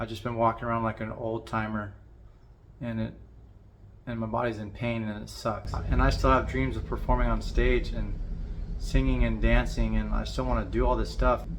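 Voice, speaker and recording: Audible room echo around a man at a moderate pace. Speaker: vlogger with Parkinson's disease, musician. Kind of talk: personal vlog monologue. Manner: somewhat monotone, constricted by Parkinson's; halting, repeated words.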